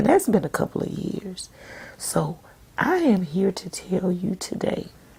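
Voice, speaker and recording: A soft-spoken woman talks at a fairly slow pace in a gentle tone, her intonation lively. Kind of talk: devotional sermon-style talk to camera. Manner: soft-spoken, gentle.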